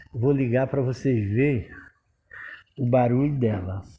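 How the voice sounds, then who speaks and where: At a fairly slow pace, a man with a dark, mellow tone and a somewhat breathy voice speaks at a medium pitch with ordinary pitch variation. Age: 70s. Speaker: handyman / repair tradesman. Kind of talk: tutorial. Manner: casual, repetitive.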